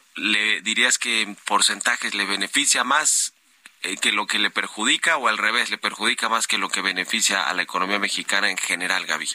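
A man at a moderate pace with ordinary pitch variation, in a dry, close sound with no echo, amid noticeable background noise. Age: 30s. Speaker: business radio host. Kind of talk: live radio business news show. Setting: radio studio.

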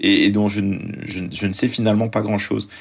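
A man speaks very fast in a fairly low voice. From France, arrived from Lebanon at 4. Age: 30s. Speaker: journalist and author. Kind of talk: interview.

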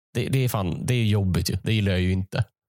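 Very clean recording of a man speaking, the background silent. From Sweden, Malmö/Skåne. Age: 20s. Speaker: comedian. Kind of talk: casual solo monologue. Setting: home basement. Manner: halting.

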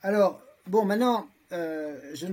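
A man speaks at a very slow pace. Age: 60s. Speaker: lawyer, transhumanist association vice-president. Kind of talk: debate. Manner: halting, many fillers.

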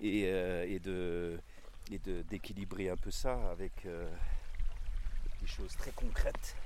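A man talks at a very slow pace, with room echo clearly audible. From Alsace, Vosges valley. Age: 60s. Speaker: botanist and former pastor. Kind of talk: casual interview. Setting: outdoors. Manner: halting, many hesitations.

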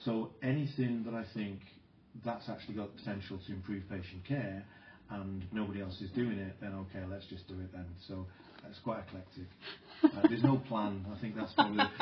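Amid audible room echo, a man with a fairly low pitch speaks at a fairly quick pace, his intonation fairly even and his loudness swinging widely. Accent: South Welsh. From Wales, South Wales mining community. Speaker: nursing professor and researcher. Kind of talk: interview conversation. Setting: conference venue, out in the wild.

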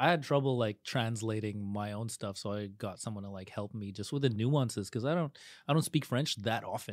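In a very clean recording with a silent background, a man with a plain, everyday voice speaks at a fairly quick pace, at a medium pitch and with ordinary pitch variation. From Montreal, Canada. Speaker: stand-up comedian. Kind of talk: casual chat. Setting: studio.

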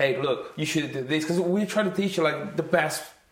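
A man with a non-native accent speaks at a fairly high pitch. Noticeable background noise is present. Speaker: football academy coach and podcast co-host. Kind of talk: casual chat. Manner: animated.

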